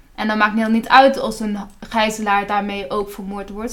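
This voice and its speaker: Noticeable background noise and audible room echo fill the recording. A woman with a fairly high pitch speaks at a fairly quick pace. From Palestinian background. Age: 20s. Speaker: student activist. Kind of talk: interview.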